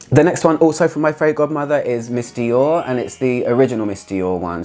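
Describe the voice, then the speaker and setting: In a British accent, a man speaks at a moderate pace with ordinary pitch variation. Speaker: fragrance reviewer. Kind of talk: casual talk to camera.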